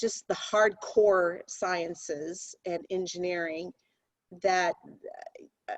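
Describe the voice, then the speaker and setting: Recorded dry and close with no echo, a woman speaks very slowly with fairly even intonation. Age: 60s. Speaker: company CEO. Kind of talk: interview.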